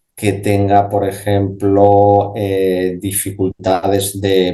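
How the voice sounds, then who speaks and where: This man's voice is somewhat breathy, fairly low in pitch and dark and mellow in tone. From Spain, Asturias. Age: 50s. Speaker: speech therapist and voice specialist. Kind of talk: radio interview answer. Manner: conversational, explanatory, with hesitations.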